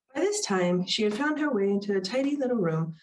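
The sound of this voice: Intonation here is lively. The voice is an unforced reading voice.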